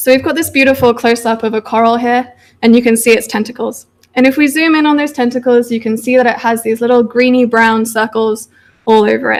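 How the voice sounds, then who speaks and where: With a British accent, a woman talks at a very fast pace in a high pitch, her intonation monotone and flat. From United Kingdom. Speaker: PhD researcher. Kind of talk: public science talk.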